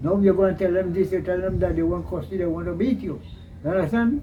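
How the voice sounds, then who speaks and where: Against noticeable background noise, a man with a Trinidadian accent talks with lively intonation. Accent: rural Trinidadian English. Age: 80s+. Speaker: elderly villager recounting history. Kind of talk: interview.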